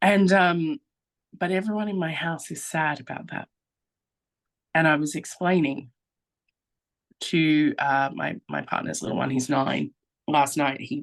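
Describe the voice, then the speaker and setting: Pausing long and often, a woman with an Australian accent speaks at a fairly slow pace in a very deep, low pitch. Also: ordinary pitch variation. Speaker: guest, social media creator. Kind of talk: casual chat.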